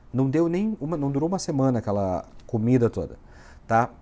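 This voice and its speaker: Lively in intonation and dark and mellow in tone, a man talks at a fairly quick pace on a very clean recording with a silent background. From southern Brazil (Rio Grande do Sul, Uruguaiana). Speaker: immigration lawyer, vlogger. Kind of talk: casual vlog. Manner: animated.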